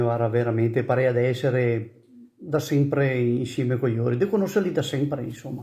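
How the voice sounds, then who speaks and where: A man with a medium pitch speaks at a fairly quick pace, his somewhat breathy voice carrying a dark, mellow tone and fairly even intonation. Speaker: emigrant. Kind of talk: recorded video greeting. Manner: casual.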